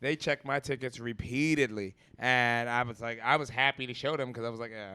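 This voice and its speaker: On a very clean recording with a silent background, a man with an American accent speaks in a bright, sharp tone, with fairly even intonation and big swings in loudness. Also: hardly any pauses. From Philadelphia, US. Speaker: comedian talk show host. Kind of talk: casual comedic chat.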